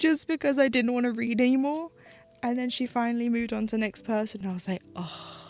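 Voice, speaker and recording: Over music in the background, a woman with a fairly high pitch talks at a very fast pace with ordinary pitch variation. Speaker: streamer doing live cross-stitch. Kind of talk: casual chat while crafting on a livestream. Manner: clear enunciation, articulate.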